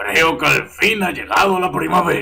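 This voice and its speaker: A man does a put-on character voice at a high pitch. It is raspy and hoarse, at a moderate pace. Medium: read story. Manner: gruff, curt.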